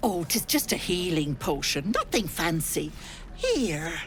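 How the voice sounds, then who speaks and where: A put-on character voice at middle pitch moves at a fairly slow pace over clear background noise. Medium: video game. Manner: fussy, folksy, doting.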